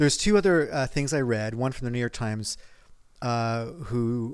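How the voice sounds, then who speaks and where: Here is a normal speaking voice at a moderate pace. The recording is very clean, with a silent background. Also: man. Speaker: podcast co-host. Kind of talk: casual banter podcast. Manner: dry, sarcastic.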